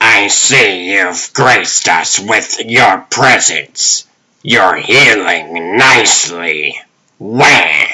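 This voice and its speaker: This man puts on a raspy character voice, pitched fairly low and delivered at a very slow pace. His loudness stays very even while his pitch varies in an ordinary way. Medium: dub. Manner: smug, genteel.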